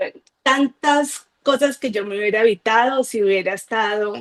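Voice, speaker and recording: Speaking at a fairly slow pace, a woman with a fairly high pitch uses a plain, everyday voice with fairly even intonation. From Colombia, Cali. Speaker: guest giving a faith testimony. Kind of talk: testimony.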